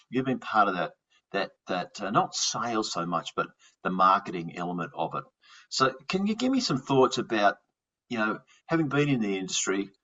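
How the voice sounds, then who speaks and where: Speaking in an Australian accent at a moderate pace, a man uses a medium pitch with very wide pitch swings. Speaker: fraud investigator and podcast host. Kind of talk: podcast interview. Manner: halting, repeats words.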